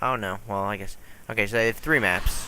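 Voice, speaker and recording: With a bright, sharp tone, a man speaks using ordinary pitch variation. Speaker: gaming YouTuber. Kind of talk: gameplay commentary. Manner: casual, hesitant with fillers. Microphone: poor audio.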